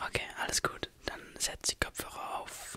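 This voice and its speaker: Soft-spoken whispering, dry with no echo, over light background noise. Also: man. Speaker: ASMR creator. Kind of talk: soft ASMR sleep talk. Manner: soft, close ASMR whisper. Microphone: studio mic.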